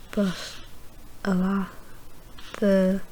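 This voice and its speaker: Soft-spoken whispering at a very slow pace, with noticeable background noise. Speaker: ASMR creator. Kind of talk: ASMR rambling movie reviews. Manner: whispered, soft-spoken.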